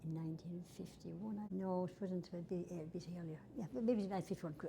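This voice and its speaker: A woman with a Tipperary accent speaks at a fairly quick pace and a fairly low pitch, with fairly even intonation. Her voice is somewhat breathy, with a dark, mellow tone. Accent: rural Irish (Tipperary). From Ireland, County Tipperary. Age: 80s+. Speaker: oral history interviewee. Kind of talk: oral history interview, reminiscing. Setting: old schoolhouse. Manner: conversational, with hesitations and self-corrections.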